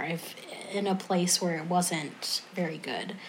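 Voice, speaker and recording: Intonation is fairly even, with audible room echo. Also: woman. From US South, North Carolina. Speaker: former music therapist. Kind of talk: interview.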